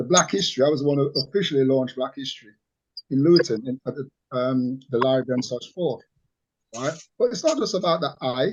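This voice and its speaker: A man with a fairly high pitch talks at a very fast pace. Long, frequent pauses break up his speech. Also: ordinary pitch variation. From Jamaica, raised in England from age nine. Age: 60s. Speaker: community activist. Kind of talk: interview. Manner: halting, repetitive.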